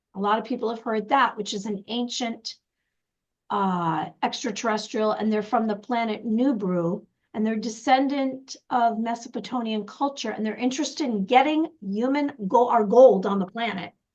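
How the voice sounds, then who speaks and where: Ordinary pitch variation and a moderate pace from a plain, everyday voice. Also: woman, fairly high pitch for a woman. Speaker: intuitive wisdom coach, show co-host. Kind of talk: casual chat.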